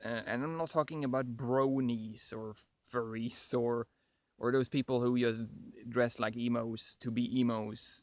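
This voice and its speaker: A man at medium pitch, fairly slow and in a monotone, flat intonation, on a very clean recording with a silent background. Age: 30s. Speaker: vlogger with Asperger's. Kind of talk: casual vlog monologue. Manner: halting, repeats words.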